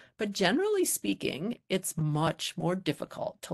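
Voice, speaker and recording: In a quiet setting, a woman speaks with an American accent. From US. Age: middle-aged. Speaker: psychology professor. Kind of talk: lecture. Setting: video call. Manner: halting. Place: home room. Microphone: video call.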